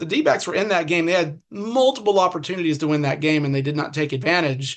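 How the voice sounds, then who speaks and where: This man has an ordinary speaking voice with an American accent, pitched fairly high. He talks at a fairly quick pace with ordinary pitch variation. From Southern California. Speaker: state legislator. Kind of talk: interview.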